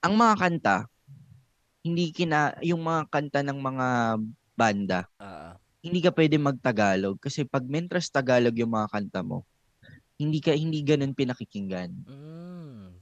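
A man speaks at a fairly high pitch and a moderate pace, with very wide pitch swings and big swings in loudness. The sound is dry and close, with no echo. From Philippines. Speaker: podcast co-host, music industry person. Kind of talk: casual chat.

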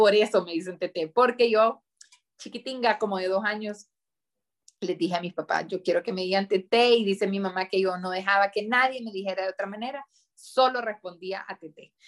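A woman speaks at a moderate pace in a medium pitch. Her intonation stays fairly even. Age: 30s. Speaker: politician. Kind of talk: interview. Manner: halting.

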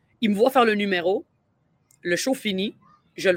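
A woman speaks with a Quebec accent. The recording is very clean, with a silent background. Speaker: comedian. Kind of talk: casual chat. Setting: outdoors.

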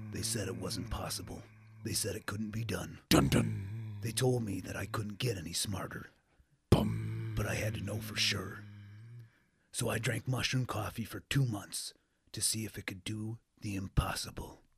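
A man's put-on character voice, dramatic in tone, fairly low in pitch, at a moderate pace. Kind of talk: dramatic trailer narration.

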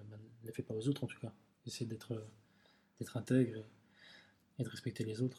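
A somewhat breathy voice with a dark, mellow tone moves at a fairly quick pace in a flat monotone, with big swings in loudness and long, frequent pauses. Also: man, medium pitch for a man. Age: 40s. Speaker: calligrapher and graffiti artist. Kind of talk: casual interview. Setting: studio.

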